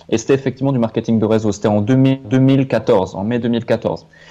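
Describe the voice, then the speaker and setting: Over a quiet background, a man with a medium-pitched voice and a dark, mellow tone talks at a fairly quick pace. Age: 20s. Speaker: entrepreneur. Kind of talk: interview.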